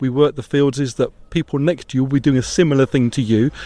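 A man's fairly high, dark, mellow voice at a very fast pace, dry and close with no echo. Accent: British. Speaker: campsite owner. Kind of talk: interview answer.

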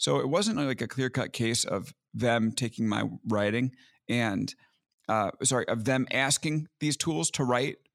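This man has an ordinary speaking voice with an American accent, medium pitch and ordinary pitch variation. He speaks at a fairly slow pace with very even loudness, and the recording is very clean with a silent background. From US Northeast, Long Island, New York. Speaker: tech journalist and podcaster. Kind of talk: casual interview chat.

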